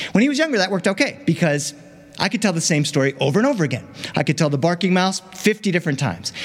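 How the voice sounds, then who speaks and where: Noticeable background noise surrounds a man with a high pitch. He talks at a very fast pace with very wide pitch swings. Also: very even loudness. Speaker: professional storyteller. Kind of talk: storytelling performance. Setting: stage with audience.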